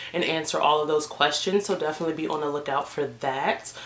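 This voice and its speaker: Behind the speech there is noticeable background noise. The woman talks fairly quickly. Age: 20s. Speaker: beauty vlogger. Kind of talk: casual vlog talk to camera. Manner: animated.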